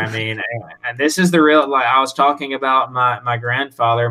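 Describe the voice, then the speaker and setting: At a moderate pace, a man with a Southern US accent speaks at medium pitch with fairly even intonation. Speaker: whiskey brand representative. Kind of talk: casual interview.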